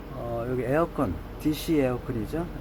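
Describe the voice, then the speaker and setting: Talking at a fairly slow pace over noticeable background noise, a man uses a medium pitch with ordinary pitch variation. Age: 70s. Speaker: travel vlogger. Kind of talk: vlog walkthrough. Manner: halting, many fillers.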